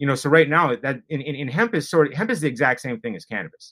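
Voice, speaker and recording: An ordinary speaking voice with an American accent, this man talks at a fairly high pitch with lively intonation, the sound dry and close with no echo. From Wisconsin. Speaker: cannabis lab founder. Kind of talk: interview.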